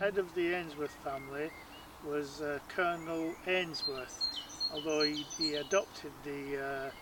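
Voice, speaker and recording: At a fairly slow pace and with fairly even intonation, a man speaks in a fairly high pitch over noticeable background noise. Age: 60s. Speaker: wildlife photographer. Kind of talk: documentary interview. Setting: outdoors in gardens. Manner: hesitant, many fillers.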